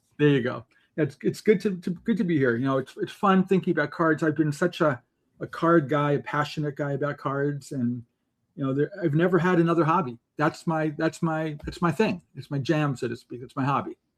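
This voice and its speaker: A man with an unremarkable speaking voice, fairly high in pitch with ordinary pitch variation, talks at a fairly quick pace against a quiet background. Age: 60s. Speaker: software company co-founder, card collector. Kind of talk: podcast interview.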